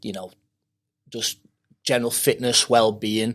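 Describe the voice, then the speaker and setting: A man with a Liverpool accent is heard on a very clean recording with a silent background. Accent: Liverpool (Scouse). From Maghull, Merseyside, England. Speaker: MMA fighter and coach. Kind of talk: podcast interview. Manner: hesitant, many fillers.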